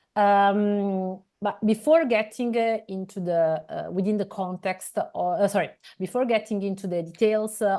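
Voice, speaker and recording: A woman speaks at a fairly slow pace with an Italian accent, her tone dark and mellow. Her pitch is medium with ordinary variation, and the background is quiet. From Italy. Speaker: scientific editor and interviewer. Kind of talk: interview. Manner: hesitant, many fillers.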